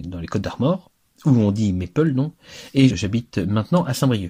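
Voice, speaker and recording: A man's dark, mellow voice with lively intonation. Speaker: Gallo language teacher. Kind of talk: lecture. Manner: didactic, clear, explanatory.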